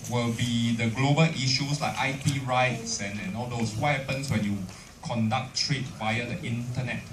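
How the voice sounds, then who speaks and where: A man talks at a moderate pace with a Singaporean accent and fairly even intonation. Noticeable background noise and audible room echo come through. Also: medium pitch for a man. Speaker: university lecturer. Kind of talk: lecture.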